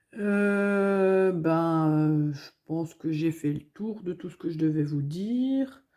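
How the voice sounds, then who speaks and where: Very slow and fairly low in pitch, a woman with a Belgian accent speaks in a dark, mellow tone on a very clean recording with a silent background. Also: ordinary pitch variation. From Belgium, Hainaut province. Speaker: budgeting vlogger. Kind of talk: casual vlog chat. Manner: hesitant, many fillers.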